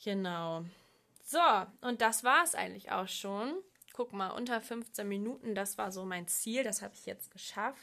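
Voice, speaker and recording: A woman's medium-pitched voice with a bright, sharp tone, ordinary pitch variation, big swings in loudness and a fairly slow pace, over a quiet background. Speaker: podcast host. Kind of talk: solo podcast monologue. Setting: at home desk.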